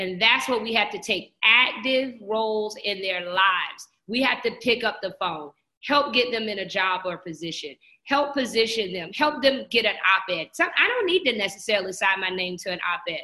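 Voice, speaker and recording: Lively intonation at a moderate pace from a woman with a plain, everyday voice, fairly high in pitch. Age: 40s. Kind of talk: interview.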